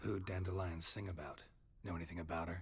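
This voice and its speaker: A man puts on a character voice with a very deep, low pitch. He talks at a very fast pace in a monotone, flat intonation. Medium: video game. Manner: terse, dry, clipped sentences.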